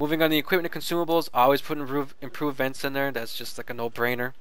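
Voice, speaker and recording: Talking at a very fast pace, a man with a fairly high pitch keeps a monotone, flat intonation as audible room echo rings around him. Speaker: gaming video reviewer. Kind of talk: game tutorial with gameplay commentary. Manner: casual, many fillers and restarts.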